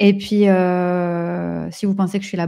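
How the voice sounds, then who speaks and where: The recording is very clean, with a silent background. A woman talks in a dark, mellow tone. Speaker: entrepreneur and business coach. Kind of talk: live stream talk with audience comments. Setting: social media live stream. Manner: slow; halting, many repetitions and fillers.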